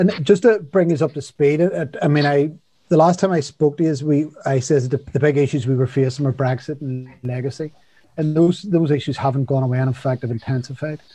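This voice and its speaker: Fairly quick and somewhat breathy, the speaker has a dark, mellow tone with ordinary pitch variation in a dry sound with no echo. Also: man. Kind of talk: political update talk. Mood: serious, concerned. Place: home room. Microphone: video call.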